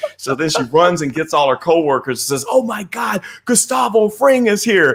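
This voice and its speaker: Speaking with a Midwestern US accent, a man uses a high pitch and very wide pitch swings. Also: moderate pace. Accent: US Midwest. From Missouri, US Midwest. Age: 50s. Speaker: crypto investor and technical analyst. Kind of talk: casual interview. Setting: live stream.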